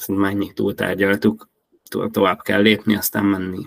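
Recorded dry and close with no echo, a man speaks in a fairly low pitch with monotone, flat intonation. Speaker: fantasy football podcast host. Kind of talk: casual chat.

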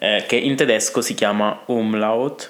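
Fairly low pitch from a man, over noticeable background noise. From Italy. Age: 20s. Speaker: language teacher. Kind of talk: tutorial. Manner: halting.

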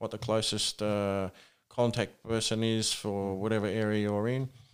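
On a very clean recording with a silent background, a man with an Australian accent speaks in a flat monotone. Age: 40s. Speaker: rural firefighter. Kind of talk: casual interview.

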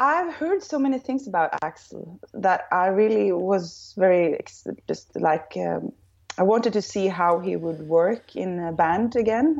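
A woman speaks in a Norwegian accent at a fairly slow pace. Her intonation is lively. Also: medium pitch for a woman. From northern Norway, small village. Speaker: rock singer. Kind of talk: interview. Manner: hesitant, many fillers.

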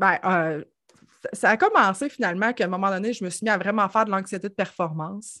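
The speaker has a Quebec accent and ordinary pitch variation. The recording is very clean, with a silent background. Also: woman. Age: 30s. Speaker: financial services entrepreneur. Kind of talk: casual chat.

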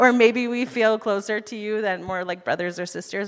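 A woman speaks with a Utah accent. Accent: American (Utah). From US, Utah. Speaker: missionary, church speaker. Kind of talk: sermon.

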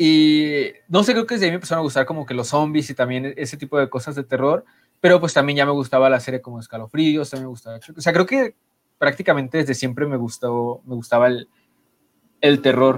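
A man speaks in a normal speaking voice at a fairly high pitch and a fairly quick pace. His loudness swings widely while his pitch varies in an ordinary way. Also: very clean recording, silent background. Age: 20s. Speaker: podcast co-host. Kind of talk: casual chat.

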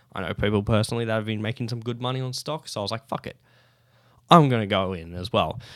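A man with an Australian accent at a very fast pace, medium in pitch with ordinary pitch variation. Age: 20s. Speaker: podcast host. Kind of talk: casual solo chat. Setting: studio, seated on camera.

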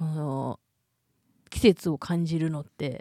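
With a Kansai accent, a woman speaks in a fairly low pitch and a dark, mellow tone, her pitch varying in an ordinary way, the sound dry and close with no echo on a very clean recording with a silent background. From Hyogo, Japan. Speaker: podcast co-host. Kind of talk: casual chat. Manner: hearty belly laugh.

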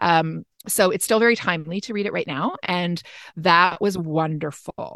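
A woman talks in a plain, everyday voice. Her pitch is fairly low. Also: ordinary pitch variation, moderate pace. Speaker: podcast host. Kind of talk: casual chat.

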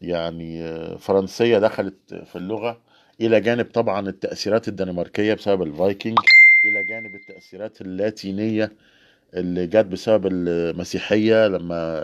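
Moderate-paced male speech, fairly low in pitch and fairly even in intonation. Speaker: livestream host. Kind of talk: casual livestream talk. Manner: halting.

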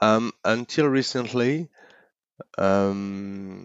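A man with a French accent and ordinary pitch variation. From France, Paris. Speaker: entrepreneur. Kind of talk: interview. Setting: at home.

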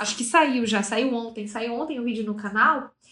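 A woman at a moderate pace. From Brazil, Manaus (Amazonas). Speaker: screenwriter and YouTube creator. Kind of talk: casual interview.

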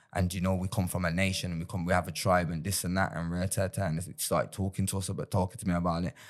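In a very clean recording with a silent background, a man with a very deep, low pitch talks at a very fast pace. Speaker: rapper and former gang member. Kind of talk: casual interview. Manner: animated.

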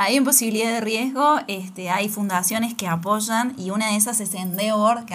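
Noticeable background noise and audible room echo surround the recording. A woman speaks at a fairly quick pace with ordinary pitch variation. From Argentina, Córdoba. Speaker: podcast host. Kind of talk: interview. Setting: studio.

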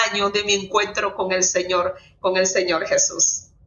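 Fairly slow talking from a woman, noticeable background noise behind her. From Dominican Republic. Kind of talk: faith testimony interview.

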